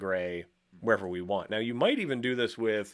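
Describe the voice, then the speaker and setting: A man talks at a fairly quick pace in a medium pitch with ordinary pitch variation. It is a plain, everyday voice. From Canada. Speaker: motion design instructor. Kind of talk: live-streamed software tutorial. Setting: live stream with chat. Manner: casual, conversational.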